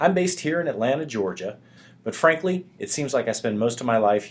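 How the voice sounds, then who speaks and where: Lively intonation carries the man's speech, delivered with an American accent. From US South. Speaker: sales software presenter. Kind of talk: webinar presentation. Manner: fast.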